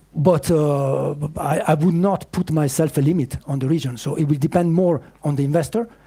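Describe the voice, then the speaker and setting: This man talks at a moderate pace in a fairly high pitch, his tone dark and mellow and somewhat breathy, with ordinary pitch variation. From Italy, Piedmont. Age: 50s. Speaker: startup founder. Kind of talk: pitch Q&A. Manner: halting.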